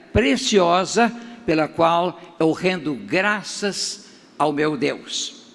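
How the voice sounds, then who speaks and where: The talking goes at a very slow pace with ordinary pitch variation, and noticeable background noise is present. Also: man. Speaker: pastor. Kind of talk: sermon.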